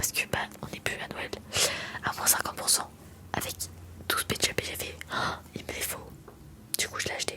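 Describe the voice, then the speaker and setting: A woman whispering, with long, frequent pauses and noticeable background noise. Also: moderate pace. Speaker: ASMR content creator. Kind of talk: talking ASMR video to camera. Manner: soft, quiet, intimate, whispery.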